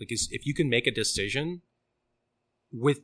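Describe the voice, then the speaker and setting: A man speaks with an American accent at a moderate pace, his pitch varying in an ordinary way. His tone is bright and sharp, on a very clean recording with a silent background. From Sarasota, Florida, US. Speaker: pizzeria founder. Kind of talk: casual chat.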